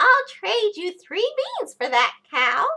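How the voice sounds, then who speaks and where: Putting on a squeaky character voice, a woman speaks at an extremely high pitch and a fairly slow pace with very wide pitch swings. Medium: read story.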